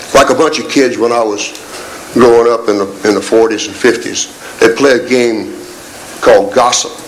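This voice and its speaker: Noticeable background noise and audible room echo surround a man talking at a fairly quick pace at a medium pitch. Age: 70s. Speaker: military retiree speaking at council meeting. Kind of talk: public comment speech. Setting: city council meeting. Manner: animated.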